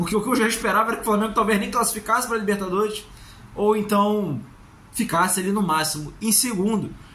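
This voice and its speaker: Speaking very fast, a man with a high pitch keeps his intonation fairly even. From Brazil. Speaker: football YouTuber, fan commentator. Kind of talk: solo match analysis vlog. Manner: casual, conversational. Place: home room. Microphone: phone near.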